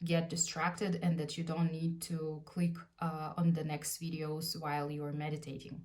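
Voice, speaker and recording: Noticeable background noise and audible room echo surround a woman with a Russian accent. She speaks at a moderate pace and a fairly low pitch. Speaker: lifestyle vlogger. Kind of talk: casual tutorial. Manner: hesitant, frequent fillers.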